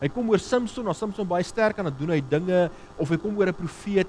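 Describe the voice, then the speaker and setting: A man with a high pitch, against noticeable background noise. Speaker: pastor. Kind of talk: sermon.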